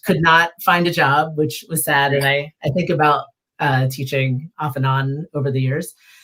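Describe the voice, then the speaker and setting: A woman with an American accent speaks at a moderate pace in a very deep, low voice with a bright, sharp tone and flat, monotone intonation. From Philadelphia. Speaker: zine library founder. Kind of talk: casual interview chat.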